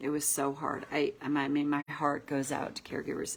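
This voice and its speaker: A woman speaks with a very deep, low pitch. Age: 60s. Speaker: tapping coach. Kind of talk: casual talk to camera. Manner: animated.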